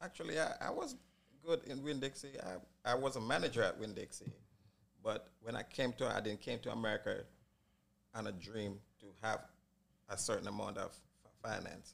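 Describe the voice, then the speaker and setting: A man talks with long, frequent pauses, keeping a moderate pace overall. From Jamaica. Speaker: barbershop owner. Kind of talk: casual chat.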